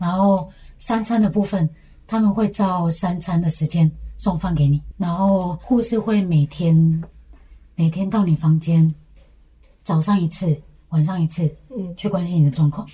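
Long, frequent pauses within fairly slow delivery. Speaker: former language school student. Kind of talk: casual interview.

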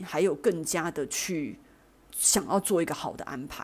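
The tone is dark and mellow, the pace fairly slow, and the recording very clean with a silent background. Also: woman. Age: 40s. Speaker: podcast host. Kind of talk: personal monologue.

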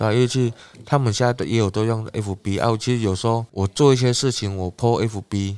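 A man with an unremarkable speaking voice and medium pitch talks at a fairly quick pace with fairly even intonation. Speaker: village chief. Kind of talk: casual interview.

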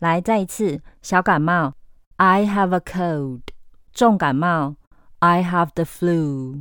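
Over a silent background in a very clean recording, a woman speaks at a very slow pace with fairly low pitch and lively intonation. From Taiwan. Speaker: English teacher. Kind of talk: language lesson podcast.

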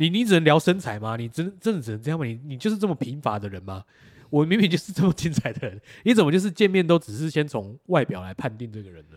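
Racing at a very fast pace, a man with a fairly high voice makes very wide pitch swings and big swings in loudness. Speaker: podcast co-host. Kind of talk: casual chat.

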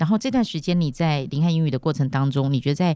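Speaking at a very fast pace with a Taiwanese Mandarin accent, a woman has a very deep, low pitch, a dark, mellow tone and ordinary pitch variation. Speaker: podcast host, founder of English school. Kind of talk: casual interview chat.

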